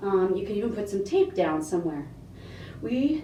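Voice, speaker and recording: A woman speaks at a moderate pace with lively intonation, and audible room echo surrounds her voice. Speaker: fitness instructor. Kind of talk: tutorial.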